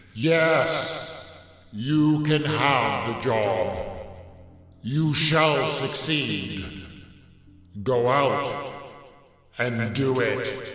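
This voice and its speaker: A man in a put-on character voice, fairly high-pitched, at a very slow pace with long, frequent pauses and a clear echo. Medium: read story. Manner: majestic, authoritative.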